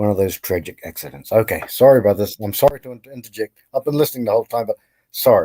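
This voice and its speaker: A man with a New Zealand accent speaks at a fairly quick pace and medium pitch, with ordinary pitch variation. His tone is dark and mellow, and the sound is dry and close with no echo. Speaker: caller. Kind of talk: casual chat.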